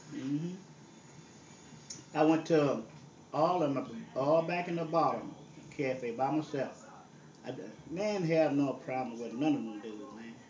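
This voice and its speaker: A man speaks with a strong Southern US accent at a fairly high pitch with ordinary pitch variation. His pace is fairly slow, with long, frequent pauses. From Southern US (Texas). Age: 70s. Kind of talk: casual reminiscing on a phone call.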